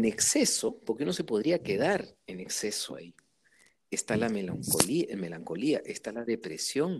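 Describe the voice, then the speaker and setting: A man's voice with very wide pitch swings and big swings in loudness. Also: medium pitch for a man, fairly slow pace. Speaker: interviewee on emotions. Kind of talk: casual interview conversation.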